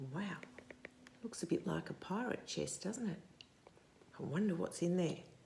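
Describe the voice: In a room with audible echo, a woman speaks at a fairly slow pace, her fairly low pitch showing ordinary variation, vocal fry and a dark, mellow tone.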